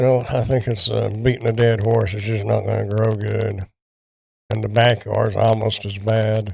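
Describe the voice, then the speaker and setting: A man with a Texan accent, at a moderate pace. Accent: Texan Southern US. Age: 60s. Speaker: product reviewer. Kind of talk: casual livestream chat. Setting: livestream from home. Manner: halting.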